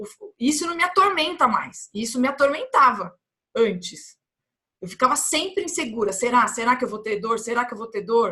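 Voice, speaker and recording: A woman's high, bright, sharp voice at a moderate pace, with very wide pitch swings. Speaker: health educator. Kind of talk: vlog monologue. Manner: conversational, with fillers and repetitions.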